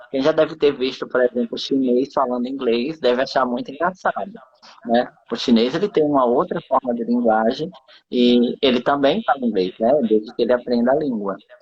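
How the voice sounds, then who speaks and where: The speaker has a slight northeastern Brazilian accent and talks at a moderate pace. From Brazil, interior of Rio Grande do Norte (Northeast). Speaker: live stream host. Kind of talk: casual chat. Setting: live stream.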